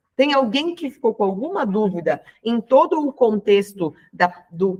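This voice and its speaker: A woman speaking at a very slow pace. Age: 40s. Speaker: health and weight-loss coach. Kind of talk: online class. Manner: casual, conversational.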